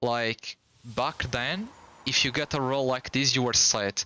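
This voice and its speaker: A man talks at a fairly slow pace. He has a non-native accent. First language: Portuguese. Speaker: gaming streamer. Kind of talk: casual live stream chat.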